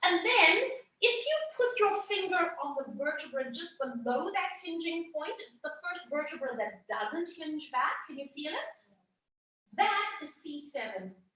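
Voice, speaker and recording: A woman's raised, projected voice, with an extremely high pitch and a bright, sharp tone, moves at a fairly slow pace with very wide pitch swings and big swings in loudness, and audible room echo surrounds it. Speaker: anatomy workshop instructor. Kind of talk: lecture. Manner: conversational, checking in with students.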